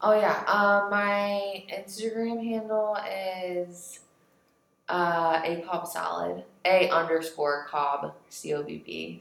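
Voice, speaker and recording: A woman with an American accent talks at a very slow pace with ordinary pitch variation, and the room echo is audible. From US Midwest, Kansas. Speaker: refugee resettlement worker. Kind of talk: casual interview.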